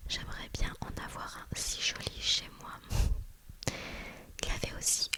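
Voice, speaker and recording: A woman whispers over noticeable background noise. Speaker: ASMR creator. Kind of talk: ASMR vacation chat. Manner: whispered.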